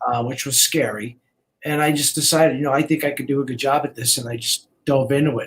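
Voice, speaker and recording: Very fast and somewhat breathy, a man with an American accent speaks at a fairly high pitch with fairly even intonation. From Brooklyn, New York. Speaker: real estate agent. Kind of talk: casual interview chat.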